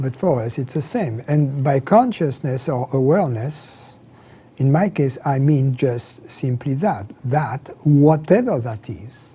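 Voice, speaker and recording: Someone with a French accent talks at a very slow pace. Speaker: spiritual teacher. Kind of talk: interview. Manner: halting, with repetitions.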